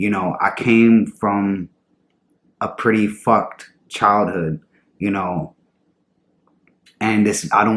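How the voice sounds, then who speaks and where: This man's voice sits fairly low in pitch, and his intonation stays fairly even. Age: 20s. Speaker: vlogger in recovery. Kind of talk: personal vlog testimony. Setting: at home in front of camera. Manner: halting.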